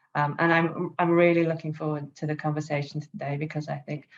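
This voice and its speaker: Against a quiet background, a woman with a British accent speaks at a very deep, low pitch. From England, London. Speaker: startup CEO, panelist. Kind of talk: panel discussion.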